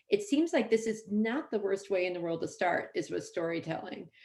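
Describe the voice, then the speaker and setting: At a fairly quick pace, a woman talks with vocal fry. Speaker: epidemiologist. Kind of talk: panel discussion. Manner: fast.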